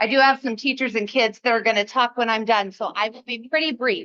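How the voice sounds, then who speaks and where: A woman speaks loudly with fairly even intonation, recorded with a dry, close sound and no echo. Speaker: school principal. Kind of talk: presentation at a school board meeting. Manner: loud projecting teacher voice. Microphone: no microphone, speaking from the back.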